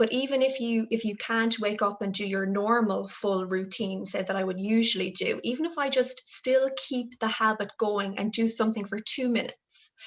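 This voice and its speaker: In an Irish accent, a woman with a fairly high voice speaks at a moderate pace with hardly any pauses and ordinary pitch variation. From Ireland, Galway. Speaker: health development officer. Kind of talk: interview answer.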